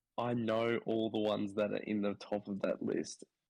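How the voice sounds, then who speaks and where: Talking at a fairly slow pace, this man speaks in an Australian accent. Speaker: podcast co-host. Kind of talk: casual chat.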